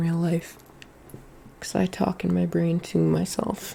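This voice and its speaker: The speaker is soft-spoken. The delivery comes at a fairly slow pace. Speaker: vlogger hosting a call-in show. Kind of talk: casual monologue. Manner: quiet, soft-spoken; halting, rambling with fillers.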